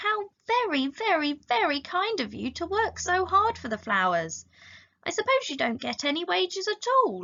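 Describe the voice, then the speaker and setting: A woman puts on a squeaky character voice at an extremely high pitch, speaking at a moderate pace. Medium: read story. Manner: curious, wondering.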